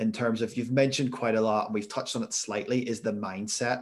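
The recording is very clean with a silent background. A man with a medium pitch speaks in a Northern Irish accent with monotone, flat intonation. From Northern Ireland, near Belfast. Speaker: podcast host. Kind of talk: interview.

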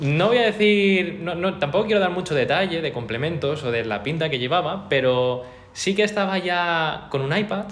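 Over audible room echo, a man talks at a fairly quick pace with very wide swings in pitch. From Mallorca, Spain. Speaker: podcast co-host. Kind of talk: casual chat.

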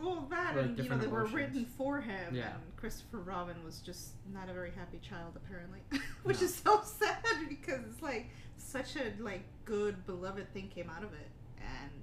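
A woman at a moderate pace, with big swings in loudness and noticeable background noise. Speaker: podcast co-host.

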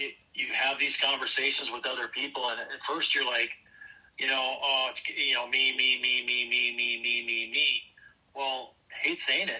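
With an American accent, a man talks at a moderate pace amid noticeable background noise. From Minnesota, Northeast Minneapolis. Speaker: army veteran. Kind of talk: interview.

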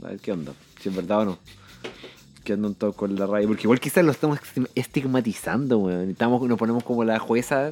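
A man's dark, mellow voice with a Chilean accent and ordinary pitch variation. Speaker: podcast co-host. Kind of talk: casual chat.

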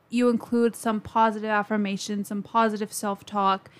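A woman with a plain, everyday voice, fairly high in pitch, talks at a fairly slow pace in a very clean recording with a silent background. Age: 20s. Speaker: podcast host. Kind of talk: casual chat.

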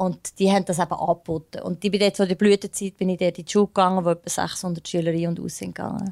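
A woman talks at a very fast pace with hardly any pauses, in a monotone, flat intonation. The recording is very clean with a silent background, dry and close with no echo. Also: medium pitch for a woman. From Bernese Oberland, Switzerland. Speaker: soul singer. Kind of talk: interview.

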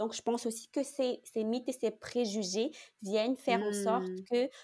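A woman's fairly high voice with a dark, mellow tone, ordinary pitch variation and a moderate pace, on a very clean recording with a silent background. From Madagascar. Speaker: entrepreneur. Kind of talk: interview.

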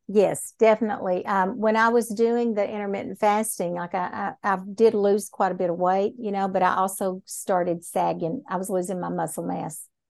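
A woman's medium-pitched voice at a moderate pace, fairly even in intonation, with hardly any pauses. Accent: Texan. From Texas. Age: 60s. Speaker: dyslexia therapist. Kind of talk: casual interview chat.

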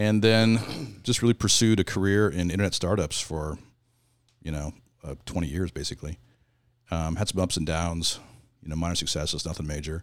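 A man's very deep, low voice with a West Coast accent and ordinary pitch variation, at a moderate pace with long, frequent pauses, on a very clean recording with a silent background. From Southern Oregon, US. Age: 50s. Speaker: shaman and ceremony facilitator. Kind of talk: casual interview conversation. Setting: in person at a retreat.

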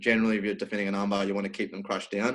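Speaking with an Australian accent, this man's voice sits fairly low. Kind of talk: casual interview.

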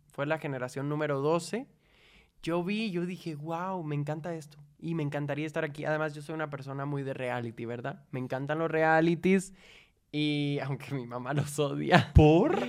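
Fairly even intonation marks an ordinary speaking voice at a moderate pace. There is no background sound, and the recording is very clean. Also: man, fairly high pitch for a man. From Cuba, then Guatemala from 14. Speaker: singer. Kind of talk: casual chat.

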